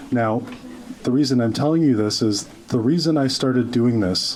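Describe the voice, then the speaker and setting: Noticeable background noise and audible room echo surround the speaker. A man talks at a medium pitch and a moderate pace. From grew up in Oakville, Ontario, Canada; refugee immigrant. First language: not English. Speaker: social media commentator. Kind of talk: rally speech. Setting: stage with audience.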